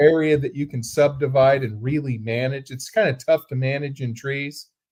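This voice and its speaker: A man's somewhat breathy, fairly high voice at a moderate pace with fairly even intonation. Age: 60s. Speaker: cattle rancher. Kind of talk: casual chat. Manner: repetitive stammering restarts.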